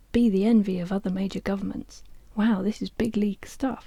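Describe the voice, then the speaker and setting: Soft-spoken and somewhat breathy, a woman talks with a dark, mellow tone. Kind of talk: audiobook reading.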